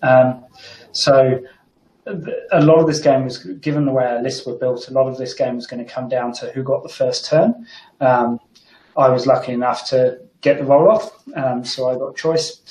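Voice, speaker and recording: An English accent with ordinary pitch variation at a moderate pace. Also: man, medium pitch for a man. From England. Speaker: tabletop wargaming player. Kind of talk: casual chat. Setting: video call.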